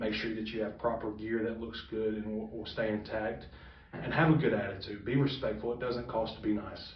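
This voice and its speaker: With audible room echo and noticeable background noise, a man talks fairly quickly at a medium pitch and with fairly even intonation. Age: 20s. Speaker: professional wrestler. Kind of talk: interview.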